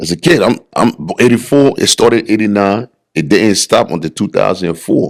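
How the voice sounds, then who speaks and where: Speaking with an American accent, a man has an animated tone and lively intonation. His pitch is fairly low and his pace moderate. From Liberia. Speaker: bodybuilder. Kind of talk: podcast interview, personal life story. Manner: animated, conversational.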